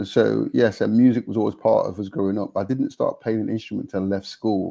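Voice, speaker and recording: With an East Midlands accent, a man speaks at a fairly quick pace. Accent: British Nottingham. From England, Nottingham. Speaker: gospel musician and songwriter. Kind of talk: interview conversation. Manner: halting, with repetitions.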